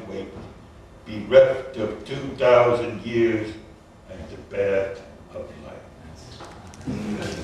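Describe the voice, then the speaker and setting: Through noticeable background noise, a man talks at a very slow pace with long, frequent pauses. His loudness swings widely. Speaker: poet. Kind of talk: poetry reading.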